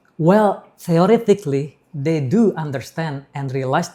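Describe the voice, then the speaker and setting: A man talks at a moderate pace with lively intonation, his tone dark and mellow and somewhat breathy. The recording is very clean, with a silent background. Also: hardly any pauses. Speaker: English instructor. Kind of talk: interview. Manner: halting.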